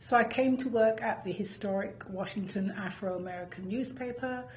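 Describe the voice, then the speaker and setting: A voice in a British accent with ordinary pitch variation, audible room echo and noticeable background noise. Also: woman. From United Kingdom. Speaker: professor, former journalist. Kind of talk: interview. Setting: studio.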